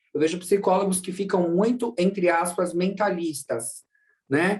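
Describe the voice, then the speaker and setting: This man talks at a moderate pace in a high voice. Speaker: psychologist. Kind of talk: online lecture.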